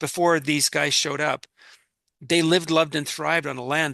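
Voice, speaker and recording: Against a quiet background, a man with a Canadian accent and a fairly high voice has a bright, sharp tone in a dry, close sound with no echo. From Canada. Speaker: solo sailor and entrepreneur. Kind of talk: interview conversation. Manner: halting, many repetitions and fillers.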